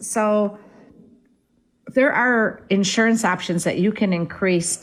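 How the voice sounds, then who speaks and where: A woman in an American accent speaks with ordinary pitch variation. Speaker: real estate agent. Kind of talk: radio talk show.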